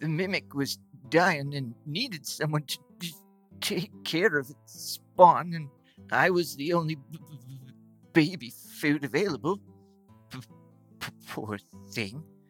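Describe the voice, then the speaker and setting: Faint music plays behind a put-on character voice at middle pitch. The delivery is fairly slow, with long, frequent pauses. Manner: gentle, sad, quietly determined.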